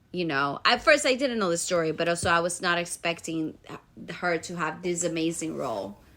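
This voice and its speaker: Recorded very cleanly against a silent background, a woman speaks fairly quickly with a Spanish accent. Her fairly low voice has lively intonation and a bright, sharp tone. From Dominican Republic. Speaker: podcast co-host, actor. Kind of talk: casual chat.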